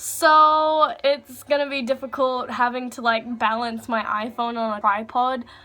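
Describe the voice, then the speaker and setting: A woman's high voice with an American accent, fairly slow and fairly even, with hardly any pauses. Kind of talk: casual talk to camera.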